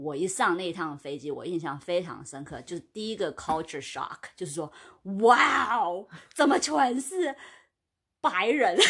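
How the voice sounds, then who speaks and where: A woman with a fairly low pitch speaks at a fairly slow pace, her pitch swinging very widely and her loudness rising and falling sharply. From China. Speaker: podcast co-host. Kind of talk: casual chat.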